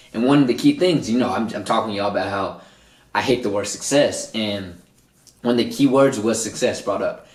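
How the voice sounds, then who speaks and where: Animated in tone, a man talks at a fairly quick pace and medium pitch with ordinary pitch variation, and audible room echo can be heard. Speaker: motivational podcast host. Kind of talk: solo podcast monologue.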